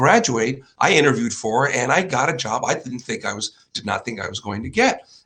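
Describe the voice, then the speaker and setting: Speaking at a fairly quick pace in a Chicago accent, a man lets his pitch swing very widely. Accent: Chicago-area American. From US Midwest, northwest Indiana near Chicago. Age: 60s. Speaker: finance show host, former investment banker. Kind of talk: solo presentation with slides. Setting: home studio in living room. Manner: casual, with hesitations.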